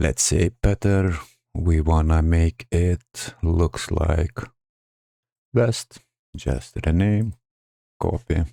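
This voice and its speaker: Speaking at a very slow pace with long, frequent pauses, a man with a non-native accent has a very deep, low pitch and a dark, mellow tone, recorded dry and close with no echo. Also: ordinary pitch variation, very even loudness. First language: not English. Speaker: gaming tutorial creator. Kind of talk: screen-recorded game tutorial narration.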